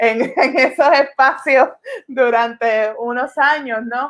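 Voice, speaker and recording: Very slowly, a woman speaks at a high pitch with fairly even intonation. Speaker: podcast co-host. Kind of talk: casual discussion. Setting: Facebook live stream.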